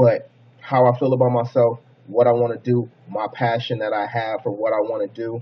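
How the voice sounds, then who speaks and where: This man sounds somewhat breathy at a medium pitch. He talks at a fairly quick pace. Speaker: motivational vlogger. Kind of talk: motivational monologue. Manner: fast; casual.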